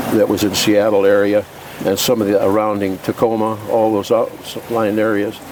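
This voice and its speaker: Noticeable background noise sits behind a man with a fairly low voice. His intonation is monotone and flat, his loudness very even. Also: moderate pace. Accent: American. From Oregon, US Pacific Northwest. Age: 80s+. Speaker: retired wine industry worker and driver. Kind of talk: oral history interview. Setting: at home. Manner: halting.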